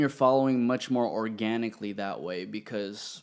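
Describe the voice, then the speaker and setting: A man speaks in a normal speaking voice at a fairly slow pace, medium in pitch with ordinary variation, in a very clean recording with a silent background. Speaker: podcast host. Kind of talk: casual podcast conversation.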